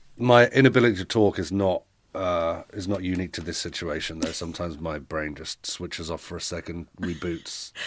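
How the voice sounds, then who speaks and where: Very deep and low in pitch, a man speaks in an English accent with ordinary pitch variation. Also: very clean recording, silent background. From England, Milton Keynes (born East London). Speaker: podcast guest, immigrant. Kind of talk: casual interview chat. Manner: halting, stumbling over words.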